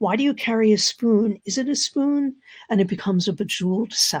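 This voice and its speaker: At a fairly quick pace, a woman with a fairly high, somewhat breathy voice speaks with ordinary pitch variation on a very clean recording with a silent background. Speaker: storyteller. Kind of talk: talk.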